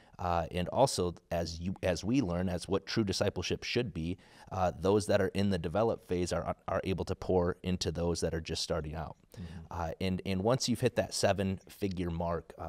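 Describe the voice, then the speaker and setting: Over a quiet background, a man with an American accent talks at a moderate pace in a very deep, low pitch with fairly even intonation. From US Midwest, South Dakota. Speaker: podcast guest. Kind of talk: casual chat interview. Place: studio. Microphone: studio mic.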